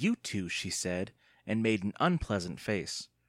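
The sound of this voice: The reading voice here is unforced. It comes out easily.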